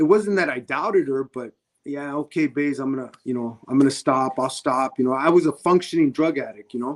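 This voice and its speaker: With an American accent, a man speaks in an unremarkable speaking voice at a fairly high pitch and fairly quick pace, with ordinary pitch variation and a dry, close sound with no echo. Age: 60s. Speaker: boxing referee. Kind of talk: interview testimony.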